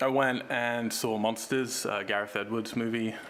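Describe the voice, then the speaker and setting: A man of medium pitch speaks in a monotone, flat intonation with an American accent over noticeable background noise. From England, Cambridge. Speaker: film director and writer. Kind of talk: interview. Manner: hesitant, many fillers.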